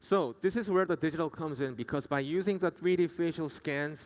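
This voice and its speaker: Speaking with a Korean accent, a man uses a fairly high pitch, ordinary pitch variation and a fairly quick pace. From South Korea. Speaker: dentist. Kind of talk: conference presentation. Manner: formal.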